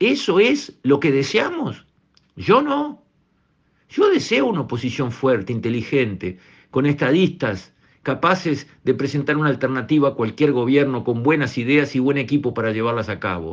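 Lively intonation marks this man's fairly high voice as he talks at a moderate pace. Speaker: radio commentator. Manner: emphatic, repetitive, rhetorical pleading; indignant, accusatory.

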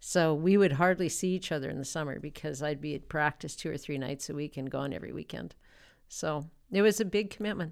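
A woman with a very deep, low pitch talks fairly quickly, her loudness swinging widely. Pitch variation is ordinary, and the recording is very clean with a silent background. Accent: Canadian. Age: 50s. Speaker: interview guest. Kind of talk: casual interview. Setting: studio.

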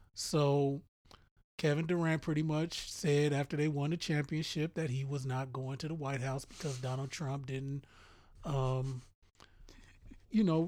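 In a very clean recording with a silent background, a man with a fairly high pitch speaks at a fairly slow pace with fairly even intonation and long, frequent pauses. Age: 40s. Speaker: podcast co-host. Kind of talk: casual chat.

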